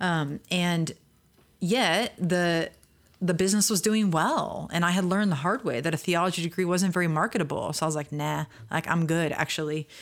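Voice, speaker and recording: A woman's plain, everyday voice, fairly low in pitch, at a moderate pace with ordinary pitch variation and very even loudness, on a very clean recording with a silent background. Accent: American. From US Midwest. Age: 30s. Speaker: seminary leadership center director, author. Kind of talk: interview conversation.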